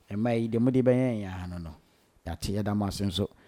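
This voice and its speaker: In a very clean recording with a silent background, a man speaks very fast in a fairly low, dark, mellow voice. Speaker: radio DJ and interviewer. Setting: studio. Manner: animated, enthusiastic, effusive, laughing.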